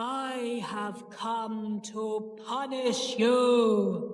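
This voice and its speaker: In a put-on character voice, the speaker holds a fairly high pitch and a monotone, flat intonation, with slight echo. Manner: menacing.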